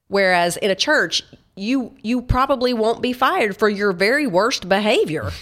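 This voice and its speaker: Speaking at a moderate pace with a Tennessee accent, a woman uses a fairly high pitch and lively intonation, her loudness staying very even. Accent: Southern US (Tennessee). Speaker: Bible study author and speaker. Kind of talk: interview. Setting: studio.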